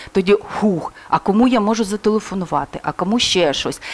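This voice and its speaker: A woman talks at a medium pitch with ordinary pitch variation. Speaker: crisis psychologist. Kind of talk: interview. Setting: studio. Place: studio. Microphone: headset.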